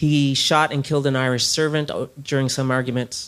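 With a Newfoundland accent, a man speaks at a medium pitch with fairly even intonation. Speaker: novelist. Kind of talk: interview.

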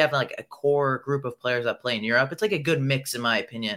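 A man with an American accent speaks at a fairly quick pace in a bright, sharp tone with fairly even intonation, in a very clean recording with a silent background. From Iranian American. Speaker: youth football content creator. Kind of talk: casual interview.

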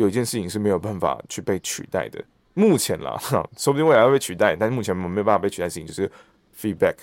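Very fast speech from a man with a fairly low pitch and lively intonation, dry and close with no echo, on a very clean recording with a silent background. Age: 30s. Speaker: stage actor and voice actor. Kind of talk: casual interview.

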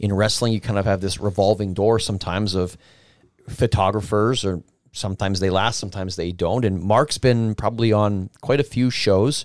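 A man with a plain, everyday voice talks at a moderate pace and fairly low pitch, his intonation fairly even, on a very clean recording with a silent background. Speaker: independent wrestler. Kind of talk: casual chat.

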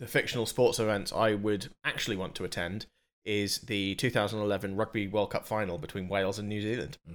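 On a very clean recording with a silent background, a man with a British accent speaks fairly quickly at a fairly low pitch, his intonation fairly even. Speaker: podcast co-host. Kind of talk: casual chat.

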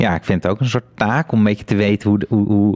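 In a dry, close sound with no echo, a man with an unremarkable speaking voice talks at a fairly quick pace and fairly low pitch, with fairly even intonation. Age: 30s. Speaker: podcast host. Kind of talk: interview about art and life. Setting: studio.

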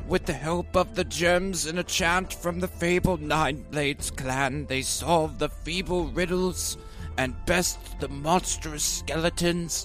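Clear music sits in the background. Over it, a man with a high voice speaks at a fairly slow pace. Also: hardly any pauses. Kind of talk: epic fantasy trailer narration. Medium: actual play. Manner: dramatic, grandiose.

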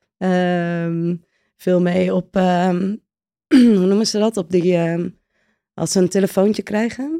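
In a very clean recording with a silent background, a woman with a dark, mellow tone speaks very slowly at a medium pitch, with fairly even intonation and a dry, close sound with no echo. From Netherlands, Friesland village. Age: 30s. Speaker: volunteer traveller. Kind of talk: interview.

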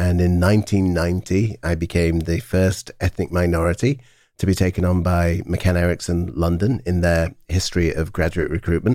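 In a British accent, a speaker with a dark, mellow tone talks at a moderate pace with fairly even intonation, on a very clean recording with a silent background. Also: man, very deep, low pitch for a man, very even loudness. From England. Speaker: brand consultancy CEO, former marketing chief. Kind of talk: interview. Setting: studio.

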